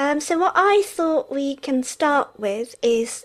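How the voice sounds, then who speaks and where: A woman is speaking. Her pace is very slow. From England. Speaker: podcast co-host. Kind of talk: casual chat. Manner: frequent switching between Japanese and English.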